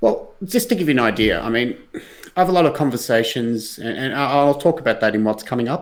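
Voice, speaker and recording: A man talks at a very fast pace with an Australian accent. His pitch is medium and his intonation lively. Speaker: blockchain company executive. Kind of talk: casual interview on livestream.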